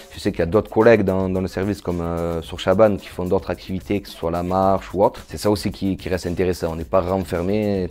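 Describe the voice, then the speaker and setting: A man's very deep, low voice at a fairly quick pace, fairly even in intonation, over background music. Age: 30s. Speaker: psychiatric nurse. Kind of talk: testimony interview. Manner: hesitant, with fillers and repetitions.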